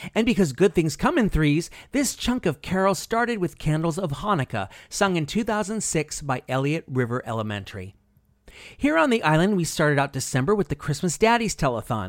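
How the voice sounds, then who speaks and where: On a very clean recording with a silent background, a man with a fairly high voice talks at a fairly quick pace in an animated, upbeat tone with very wide pitch swings. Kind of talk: radio DJ patter introducing holiday songs. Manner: upbeat, jokey, warm and playful; animated, quick-witted, chatty.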